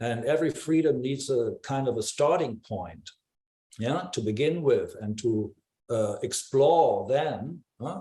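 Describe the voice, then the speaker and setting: A man's voice carries a dark, mellow tone. It sounds somewhat breathy. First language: not English. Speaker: discussion participant in art forum. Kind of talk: group discussion. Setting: video call. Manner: halting, many fillers.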